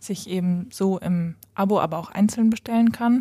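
Somewhat breathy and dark, mellow in tone, a woman's medium-pitched voice moves at a moderate pace with fairly even intonation. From Westphalia, Germany (Lemgo). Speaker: startup founder. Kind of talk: interview. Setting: company office.

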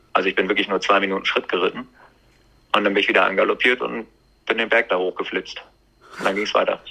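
Talking at a very fast pace, a man leaves long, frequent pauses. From Germany. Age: 20s. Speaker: event rider. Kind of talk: interview.

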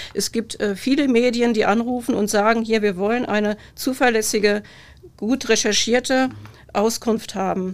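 A woman's fairly high voice at a moderate pace, fairly even in intonation, an ordinary speaking voice. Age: 50s. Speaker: police press officer. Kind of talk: casual chat.

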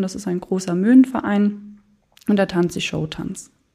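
A woman speaks with a dark, mellow tone. Her pitch variation is ordinary. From Germany, Moselle region (Lower Moselle). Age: 20s. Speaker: insurance call-center employee and local wine queen. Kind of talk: interview.

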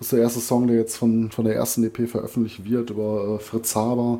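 This man's tone is dark and mellow. He speaks with a slight Ruhr accent. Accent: mild Ruhr dialect. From Ruhr area, Germany. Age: 40s. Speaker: metal podcast co-host. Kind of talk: casual chat. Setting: remote recording over headphones.

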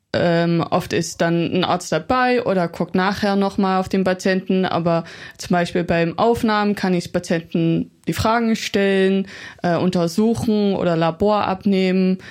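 A woman with an ordinary speaking voice talks at a fairly slow pace and medium pitch, with fairly even intonation and very even loudness. The recording is very clean, with a silent background. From Netherlands. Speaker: medical student. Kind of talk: casual interview. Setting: podcast studio.

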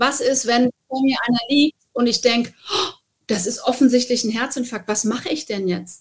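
A woman speaks at a moderate pace. Her pitch is high for a woman. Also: ordinary pitch variation. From Hesse, Wiesbaden. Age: 40s. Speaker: TV presenter and motorsport journalist. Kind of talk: interview.

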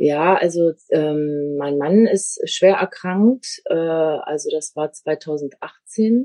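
Speaking very slowly with hardly any pauses, a woman uses a fairly low pitch. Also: ordinary pitch variation. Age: 50s. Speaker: media designer turned network marketer. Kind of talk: interview.

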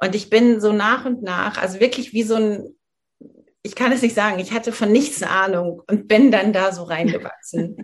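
At a moderate pace, a woman speaks at a fairly high pitch, somewhat breathy, with ordinary pitch variation. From Germany, rural northern Hesse. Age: 40s. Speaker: menopause coach and yoga teacher. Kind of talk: interview.

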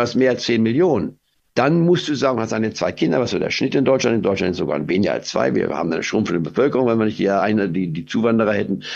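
With vocal fry and lively intonation, a man at medium pitch races along at a very fast pace with hardly any pauses. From Goslar, Harz, Lower Saxony, Germany. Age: 80s+. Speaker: investment strategist. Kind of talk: interview. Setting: video call.

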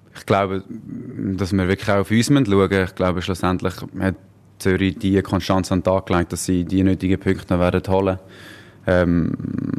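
A man with a very deep, low pitch. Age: 30s. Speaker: professional footballer. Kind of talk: interview.

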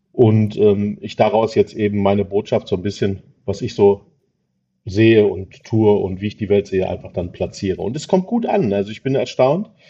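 At a moderate pace, a man with a normal speaking voice talks at a fairly low pitch with fairly even intonation. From Ruhr area, Germany (Dortmund). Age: 40s. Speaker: recycling business owner. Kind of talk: interview.

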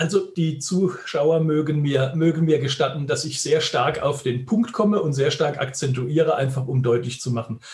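At a moderate pace, a man speaks in a somewhat breathy voice with a fairly high pitch and ordinary pitch variation. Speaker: headhunter, recruitment firm owner. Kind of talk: interview. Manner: emphatic, pointed.

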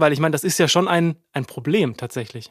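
A man talking at a very fast pace. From Baden-Württemberg, Bretten. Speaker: podcast host. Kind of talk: casual chat. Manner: animated.

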